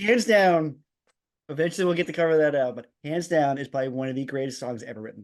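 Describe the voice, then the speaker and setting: A man with an American accent races along at a very fast pace, his fairly high voice full of lively intonation and big swings in loudness. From US, Long Island, New York. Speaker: podcast co-host. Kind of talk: casual chat. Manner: animated, stumbling over words when excited.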